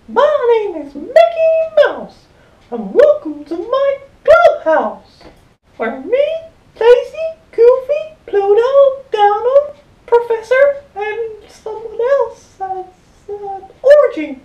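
This woman uses a put-on character voice pitched extremely high. She speaks at a very slow pace.

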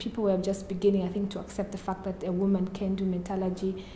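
A woman's voice carries audible room echo. Light background noise sits behind her. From Zambia, Lusaka. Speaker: PhD student in materials science. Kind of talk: interview. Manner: halting, many fillers.

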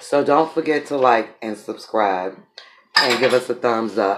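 Over noticeable background noise, a man uses a raspy put-on character voice at a medium pitch and a moderate pace, with ordinary pitch variation. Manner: strained.

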